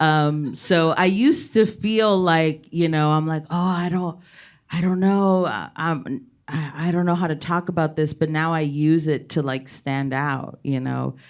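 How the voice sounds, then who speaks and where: At a fairly slow pace, a woman talks with a very deep, low pitch and ordinary pitch variation. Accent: American. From Laredo, Texas. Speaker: stand-up comedian. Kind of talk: panel discussion.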